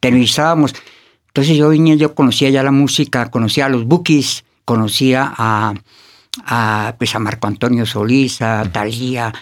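With an unremarkable speaking voice at medium pitch, a man talks at a moderate pace with ordinary pitch variation on a very clean recording with a silent background. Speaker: artist manager. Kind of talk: casual interview. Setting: studio.

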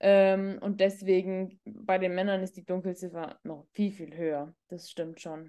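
A woman's dark, mellow voice at medium pitch, monotone and flat, very slow yet with hardly any pauses, and big swings in loudness. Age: 30s. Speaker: doctor and psychologist. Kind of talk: casual interview chat.

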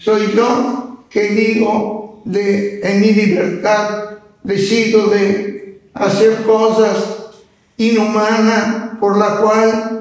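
With audible room echo, a man speaks at a very slow pace in a high pitch and monotone, flat intonation. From northern Italy, mountain village. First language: Italian (speaking Spanish). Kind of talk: interview.

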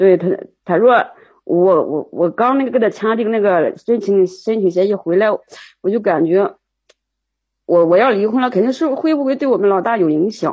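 Long, frequent pauses break up a woman's moderate-paced speech, which has a medium pitch and lively intonation. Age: 40s. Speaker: caller seeking relationship advice. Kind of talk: call-in advice conversation. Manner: halting, repeats words.

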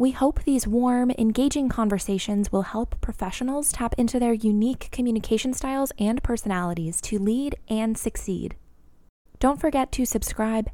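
Recorded very cleanly against a silent background, a woman speaks at a moderate pace with a dark, mellow tone, fairly high pitch and ordinary pitch variation. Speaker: show announcer. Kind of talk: scripted narration.

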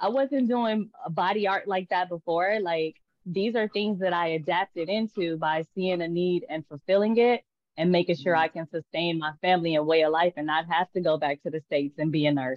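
With an American accent, a woman in a plain, everyday voice speaks at a moderate pace, her fairly low pitch showing ordinary pitch variation. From Tulsa, Oklahoma. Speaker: artist and entrepreneur. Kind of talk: casual interview. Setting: video call.

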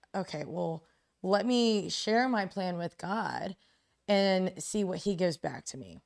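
In a very clean recording with a silent background, a woman uses a normal speaking voice at medium pitch and a fairly slow pace, with ordinary pitch variation and big swings in loudness. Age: young. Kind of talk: casual chat.

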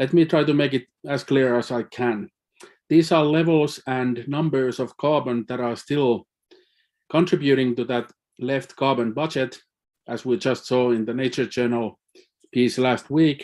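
A man speaks in a Finnish accent at a medium pitch. His pace is fairly slow and his intonation fairly even. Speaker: climate scientist. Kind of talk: panel presentation. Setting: live-streamed online meeting.

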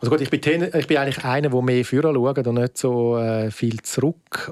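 A man speaks at a moderate pace with a medium pitch, ordinary pitch variation and a dark, mellow tone. The sound is dry and close with no echo, on a very clean recording with a silent background. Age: 40s. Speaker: film festival director. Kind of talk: interview.

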